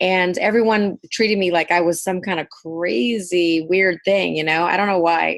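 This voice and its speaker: A woman's normal speaking voice with an American accent, fairly low in pitch with ordinary variation, at a moderate pace with hardly any pauses. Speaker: hairdresser and salon owner. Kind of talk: podcast interview.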